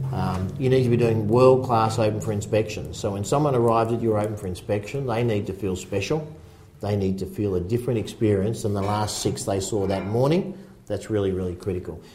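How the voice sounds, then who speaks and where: With an Australian accent, a somewhat breathy speaker talks at a fairly quick pace in a dark, mellow tone with ordinary pitch variation and audible room echo. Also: man, fairly low pitch for a man. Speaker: real estate agency founder and sales coach. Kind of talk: casual chat. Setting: real estate office.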